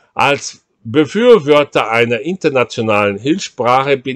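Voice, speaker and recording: With a Portuguese accent and lively intonation, a man speaks at a very slow pace, the sound dry with no echo over a quiet background. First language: Portuguese (speaking German). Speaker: writer on language. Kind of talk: reading aloud of own multilingual essay. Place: home room. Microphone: webcam.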